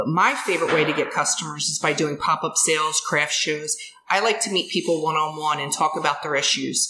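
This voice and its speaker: A woman's very deep, low voice in a Philadelphia accent, fairly quick and fairly even in intonation, with noticeable background noise. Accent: Philadelphia-area American. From Delaware County, Pennsylvania (Ridley Township). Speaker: soap maker and small business owner. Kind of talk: casual interview.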